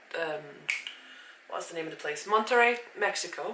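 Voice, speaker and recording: A woman with a slight Swiss German accent speaks at a medium pitch with lively intonation, amid noticeable background noise and audible room echo. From Switzerland, near Zurich. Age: 30s. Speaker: vlogger. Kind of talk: casual vlog talk to camera. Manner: casual, with hesitations.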